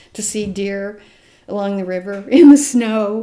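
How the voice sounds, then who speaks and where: A woman of medium pitch with an American accent and ordinary pitch variation, amid noticeable background noise. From US Midwest, rural Nebraska. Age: 70s. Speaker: grandmother interviewed about adoption. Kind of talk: interview, personal testimony. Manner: halting, with restarts.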